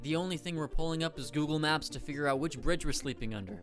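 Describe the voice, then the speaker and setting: With music in the background, a man with a fairly high pitch speaks at a very fast pace in an energetic tone. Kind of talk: satirical comedy commentary. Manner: sarcastic, energetic.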